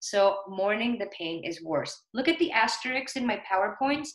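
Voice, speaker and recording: A woman with a non-native accent, her fairly high pitch paired with a bright, sharp tone. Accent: foreign. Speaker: nurse educator. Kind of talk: lecture.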